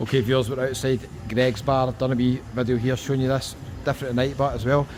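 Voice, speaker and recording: A man with a strong Scottish accent at a very fast pace, amid noticeable background noise. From Scotland. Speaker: travel vlogger. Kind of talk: travel vlog walkabout. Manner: animated.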